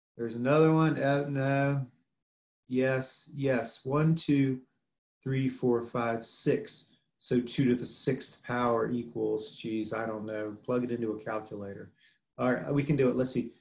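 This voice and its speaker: In a Southern US accent, a man talks at a medium pitch with fairly even intonation. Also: fairly slow pace. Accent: southern drawl. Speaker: biology professor. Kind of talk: lecture. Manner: casual, conversational.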